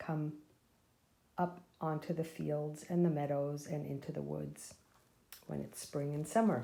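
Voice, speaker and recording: Her tone dark and mellow, a woman speaks fairly slowly at a very deep, low pitch. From Austria. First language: German. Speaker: nonprofit volunteer and board member. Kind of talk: children's story reading.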